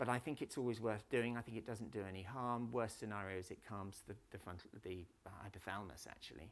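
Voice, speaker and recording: A man with lively intonation at a fairly quick pace. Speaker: conference speaker on trauma therapy. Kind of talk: conference talk. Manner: fast; animated.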